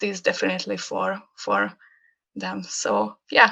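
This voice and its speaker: A woman with a Hungarian accent speaks at a fairly slow pace. The background is quiet. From Hungary. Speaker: graphic designer. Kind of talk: casual chat. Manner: halting.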